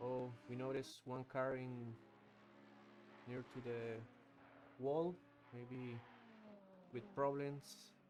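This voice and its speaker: A man with a non-native accent and a medium pitch speaks very slowly, with long, frequent pauses. His pitch variation is ordinary. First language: not English. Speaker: sim racing commentator. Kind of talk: live commentary. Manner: halting; animated.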